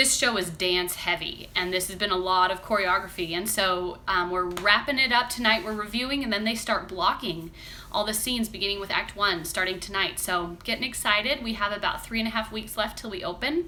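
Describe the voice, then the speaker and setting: Over noticeable background noise, a woman talks at a fairly quick pace with hardly any pauses and ordinary pitch variation. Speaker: crafts vlogger and stage performer. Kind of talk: casual live stream chat. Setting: live stream. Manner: chatty with fillers.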